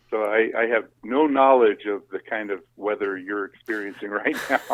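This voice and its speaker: Here a man with an American accent speaks at a fairly low pitch. His pace is moderate and his intonation fairly even. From California. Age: 60s. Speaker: arborist. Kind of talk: casual chat. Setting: phone call.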